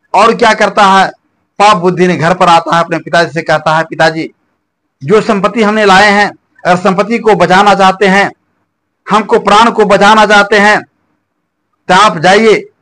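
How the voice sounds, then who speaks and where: A man speaks in a raised, projected voice at a fairly slow pace with fairly even intonation. Long, frequent pauses break up his speech. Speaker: storyteller. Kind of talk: folk story narration. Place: home room.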